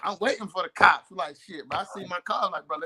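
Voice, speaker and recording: A man with an American accent is heard in a dry, close sound with no echo. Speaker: talk show co-host. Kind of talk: casual chat. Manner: fast; slurred words.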